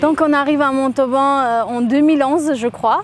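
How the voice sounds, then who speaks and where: A woman speaks with an Armenian accent at a fairly slow pace. Her intonation is fairly even, and there is noticeable background noise. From Russia, Armenian family. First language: Armenian (speaking French). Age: 20s. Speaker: interviewee in a portrait, aspiring journalist. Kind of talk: personal testimony. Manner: hesitant, many fillers.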